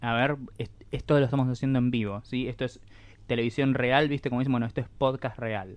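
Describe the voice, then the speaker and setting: A man speaks in an ordinary speaking voice at a medium pitch, with a fairly quick pace and fairly even intonation. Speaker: podcast co-host. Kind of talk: casual chat.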